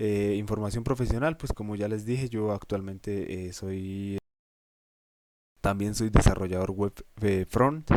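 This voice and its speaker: Long, frequent pauses break up a man's speech. His pitch is fairly low and his intonation fairly even. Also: fairly slow pace. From Colombia, Boyacá (Cucaita). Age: 20s. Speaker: university student teaching a course. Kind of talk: lecture. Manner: halting, many fillers.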